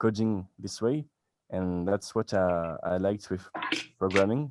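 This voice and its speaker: Delivered at a moderate pace with fairly even intonation, the voice carries a French accent. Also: man. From France. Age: 20s. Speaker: beginner web developer. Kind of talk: casual chat. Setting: video call. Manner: halting.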